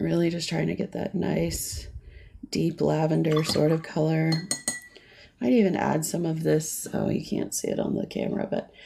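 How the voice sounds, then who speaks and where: Against noticeable background noise, the voice moves at a moderate pace in a relaxed tone. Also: woman. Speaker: watercolor art instructor. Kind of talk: live painting tutorial. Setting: livestream. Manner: relaxed, conversational.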